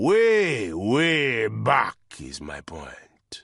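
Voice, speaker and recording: A man doing a put-on character voice that is booming and gruff, at a medium pitch. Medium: read story. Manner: gruff, mocking.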